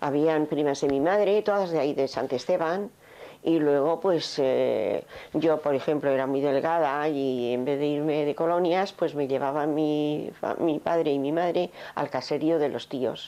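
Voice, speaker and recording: A woman's very deep, low voice with a dark, mellow tone, very even loudness and a fairly slow pace. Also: ordinary pitch variation. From Navarre and Irún, Basque Country, Spain. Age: 70s. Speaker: interviewee recalling Civil War childhood. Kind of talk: oral history interview.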